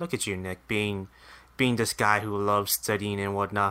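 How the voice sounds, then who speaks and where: A man with a bright, sharp tone at a moderate pace, in a very clean recording with a silent background. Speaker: temporary co-host. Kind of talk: casual chat podcast banter.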